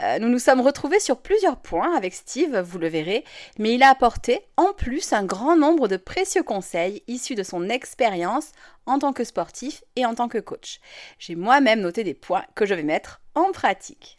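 In a very clean recording with a silent background, a woman with a French accent and a high pitch speaks in very wide pitch swings. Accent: French-accented English when speaking English. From France. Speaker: podcast host, yoga teacher and neuroscientist. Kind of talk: scripted podcast intro then interview.

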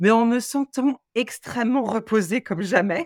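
A woman speaks at a very slow pace. The recording is very clean, with a silent background and a dry, close sound with no echo. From Paris suburbs, Seine-Saint-Denis (93). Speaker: opera singer. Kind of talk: interview.

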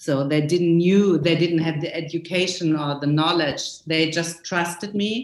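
A woman's fairly low voice, fairly even in intonation, with hardly any pauses. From small town in West Germany. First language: German. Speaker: costume designer. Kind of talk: interview. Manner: halting, many fillers.

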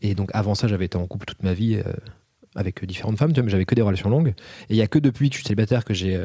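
A man speaks at a very fast pace with a dark, mellow tone, fairly low pitch and ordinary pitch variation. His voice is somewhat breathy, on a very clean recording with a silent background. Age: 30s. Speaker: film director, author and actor. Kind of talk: casual chat.

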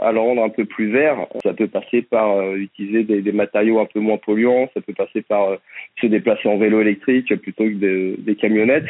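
A man talks at a moderate pace. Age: 30s. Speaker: trainee plumber, former marketing worker. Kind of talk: interview. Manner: hesitant, many fillers and repetitions.

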